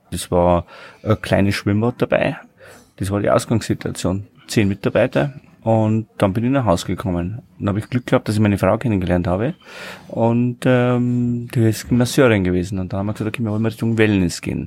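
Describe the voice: A man talks at a fairly quick pace with a fairly low pitch. His pitch varies in an ordinary way, and the tone is slightly mellow.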